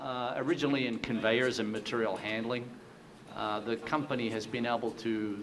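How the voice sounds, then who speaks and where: Talking at a fairly quick pace, a man with a slight Australian accent has a fairly low pitch and monotone, flat intonation. Noticeable background noise and audible room echo fill the recording. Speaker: company president. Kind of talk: panel discussion.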